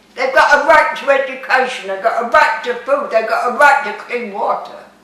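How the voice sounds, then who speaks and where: A woman uses a raised, projected voice at a high pitch, with ordinary pitch variation. She keeps a moderate pace over noticeable background noise. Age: 90s. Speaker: metaphysics speaker, retired UN worker. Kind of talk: interview.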